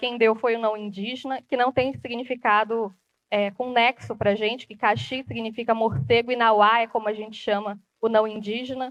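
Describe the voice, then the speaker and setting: The intonation is monotone and flat. A woman speaks at a fairly high pitch. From Brazilian Amazon (Rondônia, Acre people). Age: 20s. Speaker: journalist and TV presenter. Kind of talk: public talk.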